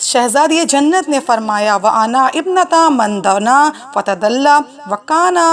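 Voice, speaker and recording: A woman speaks at a high pitch with lively intonation. Noticeable background noise is present. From India. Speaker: Islamic orator. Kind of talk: religious lecture (majlis) recounting a historical narrative.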